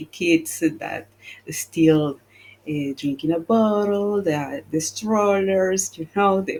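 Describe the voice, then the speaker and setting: A woman with a Spanish accent at a very slow pace, medium in pitch, with ordinary pitch variation. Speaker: travel agent. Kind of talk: casual panel discussion.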